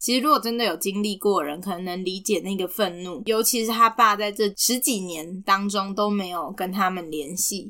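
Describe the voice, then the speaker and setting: A woman speaks in a Taiwanese accent. She keeps a moderate pace with hardly any pauses. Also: medium pitch for a woman, ordinary pitch variation. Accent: Taiwanese Mandarin. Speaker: podcast co-host. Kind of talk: casual chat about a film.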